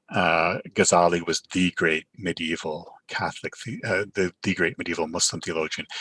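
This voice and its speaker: Bright, sharp tone in a Canadian accent, moderate pace, fairly even intonation, hardly any pauses, and a dry, close sound with no echo. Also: man, very deep, low pitch for a man. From Canada. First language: Urdu. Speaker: professor. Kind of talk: sermon. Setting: virtual online gathering. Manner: halting, frequent fillers.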